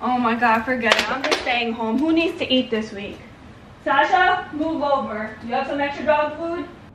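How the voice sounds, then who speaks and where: Noticeable background noise and audible room echo fill this recording of a woman. Her high voice moves at a moderate pace with ordinary pitch variation. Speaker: comedy skit creator. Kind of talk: casual vlog chat.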